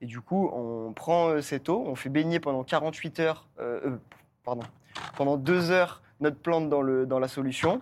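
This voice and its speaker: In a very clean recording with a silent background, a man speaks in a normal speaking voice at a fairly slow pace. His pitch is fairly high, with ordinary pitch variation. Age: 20s. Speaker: permaculturist. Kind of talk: casual chat.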